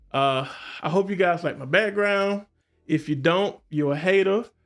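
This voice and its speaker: A man speaks with ordinary pitch variation. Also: very clean recording, silent background. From US South, Columbus, Georgia. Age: 40s. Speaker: podcast host. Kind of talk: casual solo livestream talk. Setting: live stream. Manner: halting, with many fillers.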